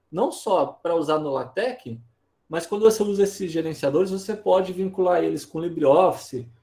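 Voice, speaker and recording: The voice has a dark, mellow tone and lively intonation at a moderate pace. The background is quiet. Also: man, high pitch for a man. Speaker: teacher; instructor. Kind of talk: online lecture, software tutorial. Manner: casual, frequent filler tags. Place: home room.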